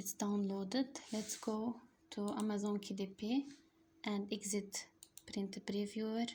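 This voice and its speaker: Very slowly and in a monotone, flat intonation, a woman with an Arabic accent speaks in a dark, mellow, somewhat breathy tone. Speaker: online tutorial creator. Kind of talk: casual product promotion; screen-recording tutorial. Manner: halting, non-fluent English.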